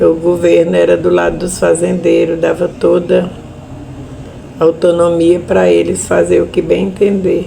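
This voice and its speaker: A woman talks fairly slowly, with noticeable background noise in the recording. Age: 70s. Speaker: widow of a murdered union leader, land-conflict witness. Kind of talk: testimony.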